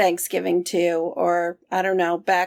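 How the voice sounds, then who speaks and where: A woman with a fairly low pitch at a fairly slow pace, in a very clean recording with a silent background. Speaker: podcast co-host. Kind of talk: casual chat.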